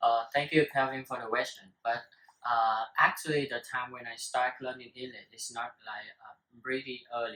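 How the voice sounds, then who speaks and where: A bright, sharp voice with a Vietnamese accent holds a monotone, flat intonation while its loudness swings widely. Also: man, medium pitch for a man, moderate pace. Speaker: student. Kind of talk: casual talk show discussion. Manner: halting, many fillers.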